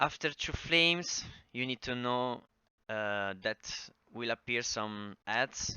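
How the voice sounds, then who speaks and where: A man speaks at a very slow pace in a medium-pitched voice with ordinary pitch variation. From Italy. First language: Italian. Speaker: gaming guide creator. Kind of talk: tutorial. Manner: halting, many fillers.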